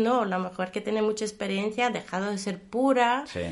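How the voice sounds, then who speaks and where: With a Portuguese accent, a woman speaks at a fairly high pitch with ordinary pitch variation. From Brazil. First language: Portuguese (speaking Spanish). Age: 40s. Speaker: guest commentator. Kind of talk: casual interview. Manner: halting, with repetitions.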